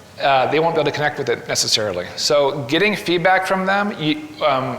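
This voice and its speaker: Through noticeable background noise and audible room echo comes a man's fairly high voice with ordinary pitch variation. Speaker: graphic novelist giving a talk. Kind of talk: presentation to live audience. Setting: gallery with live audience. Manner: fast; hesitant, many fillers.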